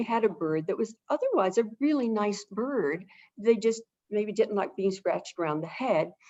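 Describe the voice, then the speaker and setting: With an American accent, a woman with an unremarkable speaking voice and a medium pitch talks at a moderate pace with lively intonation, in a dry, close sound with no echo. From Southern California. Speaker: avian behavior consultant. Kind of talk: webinar interview.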